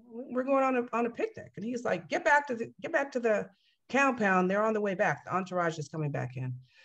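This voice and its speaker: Over a quiet background, a woman with an American accent speaks at a fairly quick pace and a fairly high pitch with very wide pitch swings. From Northern California. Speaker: cult survivor. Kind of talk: interview. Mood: earnest, emotional retelling. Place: home room. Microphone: video call.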